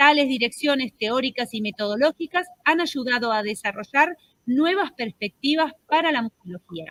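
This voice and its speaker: At a moderate pace, a woman with a high pitch and a bright, sharp tone speaks with lively intonation in a dry, close sound with no echo. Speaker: conference moderator, association president. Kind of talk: moderated conference introduction. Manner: hesitant, many fillers.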